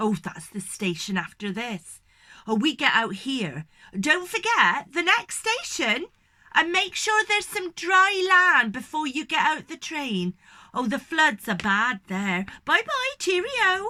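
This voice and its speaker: A woman's loud, high-pitched put-on character voice, fairly slow, with very wide pitch swings. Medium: read story. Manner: loud, chatty.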